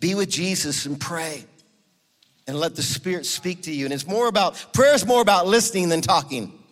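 A man's high, intense and passionate voice with lively intonation, music playing in the background. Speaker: guest preacher and prayer movement leader. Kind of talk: sermon with fervent, pleading prayer at the close. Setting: church with congregation. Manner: intense, urgent, pleading, passionate.

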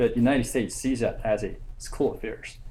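A man speaks with a Korean accent. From South Korea. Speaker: graduate student. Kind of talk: academic presentation. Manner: halting.

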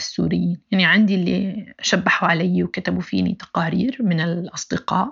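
A woman speaks at a moderate pace. Her voice has vocal fry. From Syria, Aleppo. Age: 30s. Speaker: human rights activist. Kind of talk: personal testimony interview.

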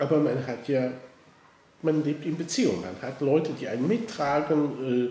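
A man talks at a fairly high pitch with ordinary pitch variation. There is audible room echo and noticeable background noise. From western Germany, Koblenz. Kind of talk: interview. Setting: office, face to face. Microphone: mobile studio, poorer sound quality.

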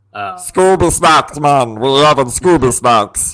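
This man puts on a character voice. His delivery is fairly slow. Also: medium pitch for a man. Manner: goofy, laid-back.

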